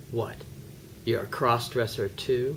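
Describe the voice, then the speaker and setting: Putting on a raspy character voice at medium pitch, a man delivers fairly even intonation against clear background noise. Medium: stage play. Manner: blunt, matter-of-fact.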